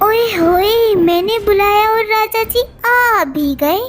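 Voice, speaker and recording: Over clear background music, a female-sounding cartoonish character voice talks at a fairly slow pace with an extremely high pitch. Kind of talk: cartoon story character voice. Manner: teasing, coaxing.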